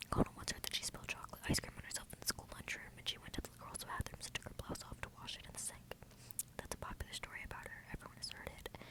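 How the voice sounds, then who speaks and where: Someone is whispering at a very fast pace against noticeable background noise. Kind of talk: ASMR book reading.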